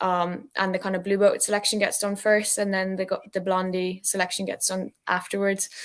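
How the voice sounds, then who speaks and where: Mumbling in a monotone, flat delivery, a woman speaks at a medium pitch on a very clean recording with a silent background. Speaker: university rower and club president. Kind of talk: interview.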